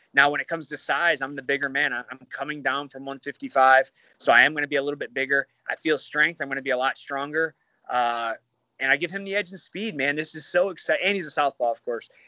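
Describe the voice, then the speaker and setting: A man with a Midwestern American accent, ordinary pitch variation and a very fast pace. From Michigan. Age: 30s. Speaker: MMA fighter. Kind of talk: casual chat.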